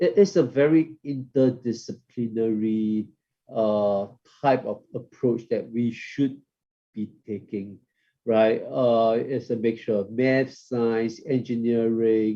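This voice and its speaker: At a very slow pace, a man talks in a medium pitch with a dark, mellow tone. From Singapore. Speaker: professor. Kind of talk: keynote lecture.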